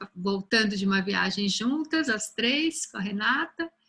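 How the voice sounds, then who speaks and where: A woman's medium-pitched voice at a moderate pace. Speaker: university lecturer. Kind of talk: lecture. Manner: soft-spoken.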